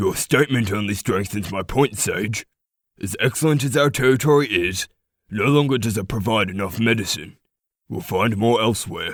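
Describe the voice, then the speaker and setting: A man puts on a raspy character voice at medium pitch. He keeps a moderate pace. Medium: audio drama.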